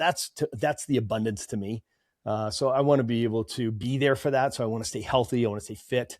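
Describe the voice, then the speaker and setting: On a very clean recording with a silent background and a dry, close sound free of echo, a man with an American accent uses a normal speaking voice at a medium pitch, ordinary pitch variation and a moderate pace. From Massachusetts, north of Boston. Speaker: chiropractor and practice coach. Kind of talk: podcast interview.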